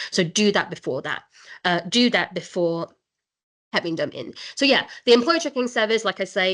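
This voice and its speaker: Against a quiet background, a woman at a medium pitch speaks with very wide pitch swings and long, frequent pauses. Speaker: immigration solicitor. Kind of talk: webinar presentation. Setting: online webinar. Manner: fast.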